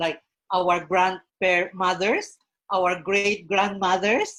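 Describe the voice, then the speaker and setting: A woman speaks with a Filipino accent. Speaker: professional guest on a Mother's Day panel. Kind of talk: online panel interview.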